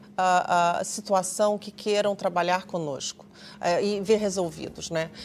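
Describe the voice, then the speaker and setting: A woman speaks with a Brazilian accent at a medium pitch. Her pace is fairly slow. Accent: Brazilian Portuguese, still noticeable. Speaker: conflict mediator. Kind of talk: TV talk show interview. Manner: hesitant, many fillers.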